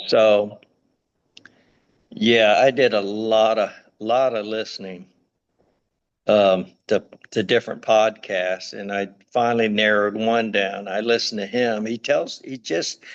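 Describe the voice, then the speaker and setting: A man speaks at a fairly low pitch and a fairly slow pace, with long, frequent pauses. His intonation is monotone and flat. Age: 60s. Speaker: sasquatch eyewitness. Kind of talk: interview testimony. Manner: halting.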